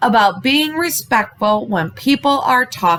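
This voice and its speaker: Her tone animated and her pitch swinging very widely, a woman speaks at a fairly slow pace. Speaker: elementary school teacher. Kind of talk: recorded lesson for young children. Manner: loud.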